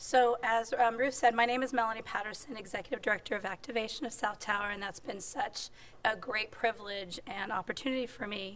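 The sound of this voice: The voice is squeaky with a fairly bright tone. It moves at a fairly quick pace with fairly even intonation. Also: woman, fairly high pitch for a woman.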